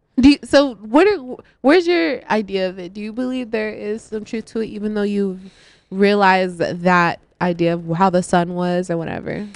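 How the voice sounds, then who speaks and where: The speaker has an unremarkable speaking voice with ordinary pitch variation and a moderate pace. Loudness swings widely throughout. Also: woman, medium pitch for a woman. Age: 20s. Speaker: radio DJ. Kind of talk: casual chat.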